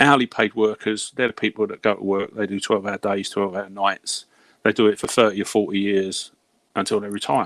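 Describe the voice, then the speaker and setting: In a British accent, a man with a fairly low pitch talks at a fairly quick pace in a monotone, flat intonation, on a very clean recording with a silent background and a dry, close sound with no echo. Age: 60s. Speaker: hourly paid worker, former healthcare professional. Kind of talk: casual chat. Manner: halting.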